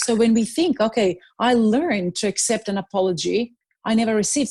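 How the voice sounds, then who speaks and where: At a moderate pace, a woman with a fairly high pitch and ordinary pitch variation speaks in a dark, mellow, somewhat breathy tone against a quiet background. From Serbia. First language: Serbian. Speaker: life strategist and motivational speaker. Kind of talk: interview conversation. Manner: halting, many fillers and restarts.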